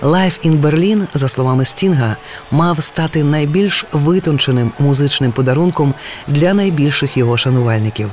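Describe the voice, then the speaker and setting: A man speaks at a moderate pace with a Ukrainian accent, his pitch fairly high and his pitch variation ordinary. His loudness stays very even, and there is noticeable background noise. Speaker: radio presenter. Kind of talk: scripted radio narration.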